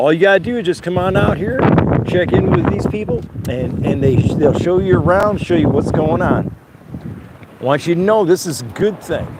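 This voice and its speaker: Noticeable background noise sits behind a man whose high-pitched voice has lively intonation. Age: 60s. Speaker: video blogger. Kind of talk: casual vlog narration.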